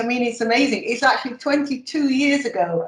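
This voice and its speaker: A woman speaks in a somewhat breathy voice. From northern England, Sheffield. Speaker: emeritus professor of nursing. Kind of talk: interview.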